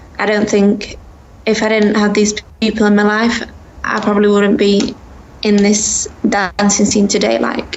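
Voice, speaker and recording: A woman speaks at a moderate pace with very even loudness. She leaves long, frequent pauses, and there is noticeable background noise. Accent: English. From England, Sheffield. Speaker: dance instructor. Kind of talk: interview. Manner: halting.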